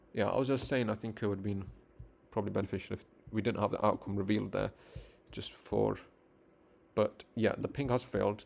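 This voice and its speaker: Vocal fry runs through a fairly quick, flat, monotone delivery broken by long, frequent pauses. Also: man, fairly low pitch for a man. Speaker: networking instructor. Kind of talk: live-streamed tutorial. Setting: live stream.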